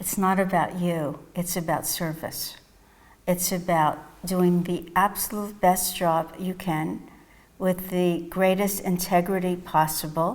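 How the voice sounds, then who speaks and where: A woman with a New York accent, fairly low pitch and a calm tone, in monotone, flat intonation at a very slow pace. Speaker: psychotherapist and mindfulness teacher. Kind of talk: interview answers. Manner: calm, reflective.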